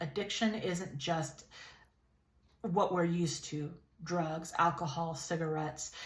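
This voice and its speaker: A woman with an American accent speaks in a fairly low pitch, somewhat breathy, with audible room echo. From California, Lompoc. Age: 30s. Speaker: YouTube vlogger. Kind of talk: casual vlog monologue. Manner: conversational, with fillers and repetitions.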